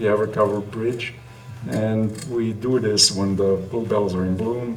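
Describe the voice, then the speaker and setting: A man at a fairly low pitch, speaking fairly slowly with ordinary pitch variation, with audible room echo and noticeable background noise. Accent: Italian. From Italy. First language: Italian. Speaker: trail runner, running group co-founder. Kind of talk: podcast interview.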